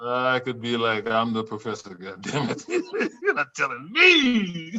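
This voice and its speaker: A man with an American accent, medium pitch and ordinary pitch variation, at a fairly slow pace over noticeable background noise. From US South, Louisiana. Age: 60s. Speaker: psychology professor. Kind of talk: casual chat. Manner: animated.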